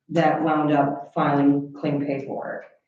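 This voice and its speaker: A dark, mellow tone with audible room echo. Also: woman. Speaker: county veterans affairs officer. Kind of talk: report to a county board meeting. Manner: loud; animated.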